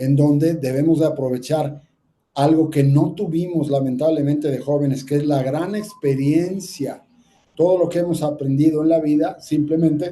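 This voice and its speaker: A man speaks at a fairly slow pace in a somewhat breathy, dark, mellow tone with fairly even intonation. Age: 60s. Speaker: ear, nose and throat doctor. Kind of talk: health talk with slides.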